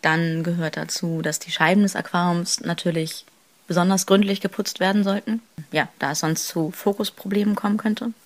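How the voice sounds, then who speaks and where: Speaking at a moderate pace and medium pitch, a woman has an unremarkable speaking voice. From northern Germany, Kiel. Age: 20s. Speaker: photographer and student. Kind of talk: interview.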